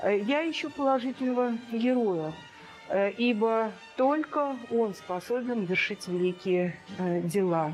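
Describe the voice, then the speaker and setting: Music plays in the background as a woman speaks at a very slow pace. Her fairly high voice has lively intonation. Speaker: art historian. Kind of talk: museum art lecture. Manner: hesitant, many filler sounds.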